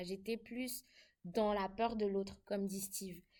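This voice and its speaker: A woman with a slight Ivorian accent. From Ivory Coast. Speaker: international student. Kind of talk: casual chat.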